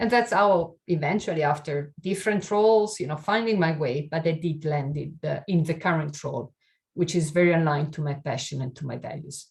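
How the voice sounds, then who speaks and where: In an Italian accent, a somewhat breathy voice speaks at a fairly quick pace with ordinary pitch variation. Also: woman, very deep, low pitch for a woman. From Italy. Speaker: keynote speaker on inclusion and diversity. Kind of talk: webinar keynote talk.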